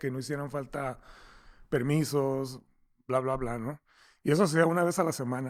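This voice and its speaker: On a very clean recording with a silent background, a man speaks in a fairly high voice with monotone, flat intonation. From Mexico, Tijuana. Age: 60s. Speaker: software company founder. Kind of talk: interview. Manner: halting, many repeated words.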